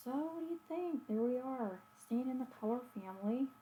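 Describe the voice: A woman speaks high in her range with lively intonation. Her tone is dark and mellow. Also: fairly quick pace.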